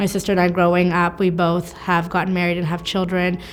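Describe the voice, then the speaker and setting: A woman speaks with a Canadian accent while music plays in the background. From Canada (Ontario), born in Afghanistan. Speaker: teacher. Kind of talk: interview answer.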